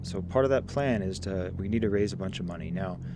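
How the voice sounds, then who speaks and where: A soft-spoken man with a very deep, low pitch and a relaxed tone, at a moderate pace with fairly even intonation and audible room echo. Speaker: gaming commentator. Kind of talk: gameplay commentary.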